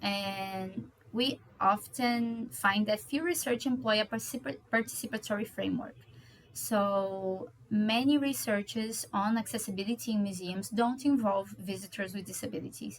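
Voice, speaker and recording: A woman speaks at a moderate pace with a Portuguese accent, her somewhat breathy, fairly high voice carrying lively intonation. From Brazil (Rio de Janeiro). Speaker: doctoral researcher. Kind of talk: conference presentation. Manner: hesitant, with fillers.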